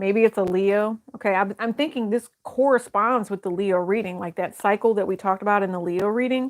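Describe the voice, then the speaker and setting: In an ordinary speaking voice, a woman speaks at a fairly quick pace with hardly any pauses, medium pitch and fairly even intonation, in a dry, close sound with no echo. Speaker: tarot reader. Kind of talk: tarot reading. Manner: casual.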